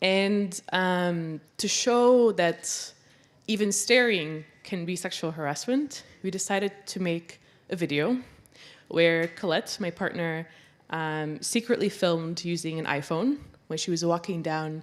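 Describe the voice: At a fairly slow pace, a woman talks in a fairly low pitch with ordinary pitch variation.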